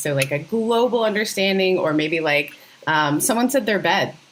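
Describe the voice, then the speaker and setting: With an American accent, a woman talks at a fairly quick pace and medium pitch. Her intonation is lively. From Northern Ontario, Canada, then Mississippi. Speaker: podcast host. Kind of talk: casual interview chat.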